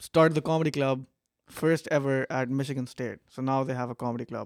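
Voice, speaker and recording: The man speaks at a moderate pace and a medium pitch. His sound is dry and close, with no echo. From Pakistan. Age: 20s. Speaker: stand-up comedian. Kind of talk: casual chat.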